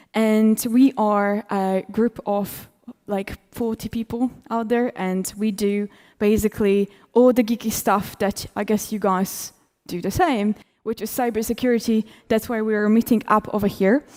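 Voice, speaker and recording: The sound is dry and close with no echo in a very clean recording with a silent background, the speech fairly slow and the intonation fairly even. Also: woman, fairly high pitch for a woman. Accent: Polish. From Poland. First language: Polish. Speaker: cybersecurity conference speaker. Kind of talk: conference talk.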